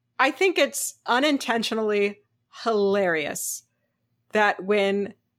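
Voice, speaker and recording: On a very clean recording with a silent background, a woman speaks with lively intonation at a fairly high pitch. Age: 30s. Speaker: podcast host. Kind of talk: casual chat. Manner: animated.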